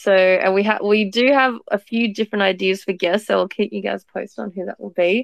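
A woman's normal speaking voice at a medium pitch, with fairly even intonation. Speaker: podcast co-host. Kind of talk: casual online conversation. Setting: live online audio room.

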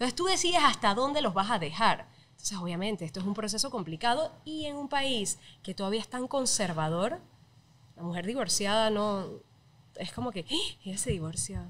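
The speech moves at a fairly quick pace, with very wide pitch swings. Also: woman. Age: 30s. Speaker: TV presenter; podcast guest. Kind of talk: casual chat. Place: studio. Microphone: studio mic.

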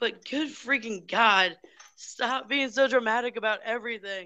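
A woman talks at a moderate pace in a fairly high pitch. Her tone is bright and sharp, and her pitch varies in an ordinary way. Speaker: book club podcast host. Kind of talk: casual chat. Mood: exasperated, opinionated. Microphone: speaking through phone; video call.

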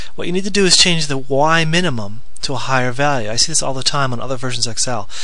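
The speech moves at a very fast pace, and the sound is dry with no echo. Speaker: spreadsheet tutorial maker. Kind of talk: screen-recording software tutorial. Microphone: headset.

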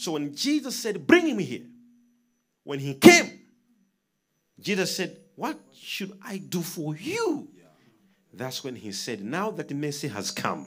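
A man at a very slow pace, with long, frequent pauses and very wide pitch swings. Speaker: preacher. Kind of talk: sermon. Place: studio. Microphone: handheld.

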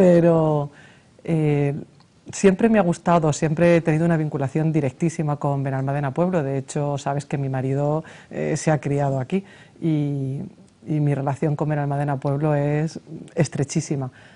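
This woman has a very deep, low pitch and a dark, mellow tone. She talks at a moderate pace with fairly even intonation. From Spain. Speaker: mayor, lawyer. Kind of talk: TV interview. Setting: TV studio. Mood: warm, smiling. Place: studio. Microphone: lapel.

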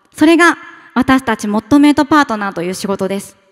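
A woman with lively intonation is heard against a quiet background. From Tokyo, Japan. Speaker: startup founder. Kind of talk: pitch presentation. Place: hall. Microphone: podium.

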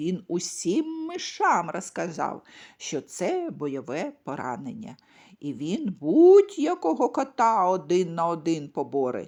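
Very slow speech from a woman, quiet background behind her. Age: old. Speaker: storyteller. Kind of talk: bedtime story reading for children.

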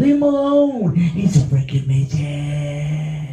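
Audible room echo surrounds the voice. A man speaks with lively intonation. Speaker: stand-up comedian. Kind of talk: stand-up comedy routine. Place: stage. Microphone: pa.

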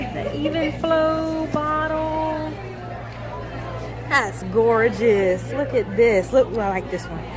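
Crowd noise plays in the background as the speech moves at a very slow pace, the sound dry with no echo. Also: woman. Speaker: doll show visitor vlogger. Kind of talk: casual vlog chat. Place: hall. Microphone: phone near.

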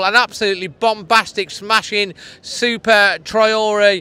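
A man with a raised, projected voice, monotone and flat, in a dry sound with no echo. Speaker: presenter. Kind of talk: post-match fan commentary. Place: stadium. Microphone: handheld.

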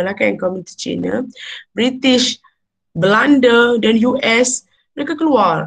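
Over a quiet background, a woman speaks at a very slow pace, her fairly high pitch showing ordinary variation. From Malaysia. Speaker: university lecturer. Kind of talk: lecture. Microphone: webcam.

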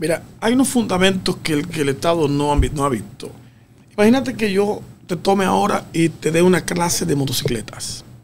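Over light background noise, a man speaks fairly quickly in a high pitch with very wide pitch swings. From Dominican Republic. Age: 50s. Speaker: road safety expert; guest. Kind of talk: radio interview. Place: studio. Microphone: studio mic.

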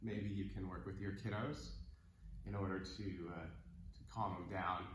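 Fairly slow speech with ordinary pitch variation, noticeable background noise and audible room echo. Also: man. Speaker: yoga teacher. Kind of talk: instructional class intro. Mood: relaxed, laughing. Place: home room. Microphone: camera far.

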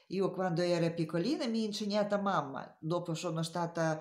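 This woman's voice sits at a medium pitch with a dark, mellow tone and ordinary pitch variation. Room echo is audible. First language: not Italian (speaking Italian). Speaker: knitting teacher. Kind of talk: tutorial. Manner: halting.

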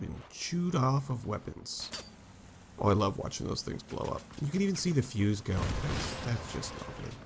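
There is noticeable background noise as a man speaks at a moderate pace. His pitch swings very widely. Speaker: gaming YouTuber. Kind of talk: casual gameplay commentary. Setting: gameplay recording. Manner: animated, excitable.

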